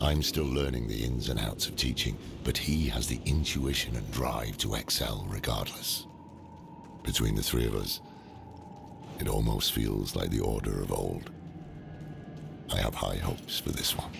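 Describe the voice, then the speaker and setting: A man's put-on character voice with long, frequent pauses, over loud background noise. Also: moderate pace. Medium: machinima.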